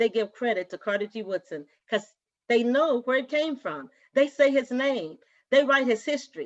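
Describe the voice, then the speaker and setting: With an American accent, a woman speaks at a high pitch and moderate pace, her tone animated and her intonation lively, in a dry, close sound with no echo. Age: 70s. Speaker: educator and activist, association council member. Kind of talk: interview.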